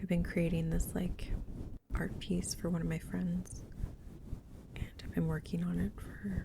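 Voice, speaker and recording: Soft-spoken, this speaker keeps to a moderate pace. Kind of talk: ASMR casual ramble.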